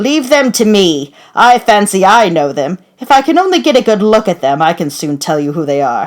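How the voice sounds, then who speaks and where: In a put-on character voice, the speaker is shrill, raised and projected, pitched fairly high, with very wide pitch swings. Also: moderate pace, hardly any pauses. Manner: screaming over the crowd.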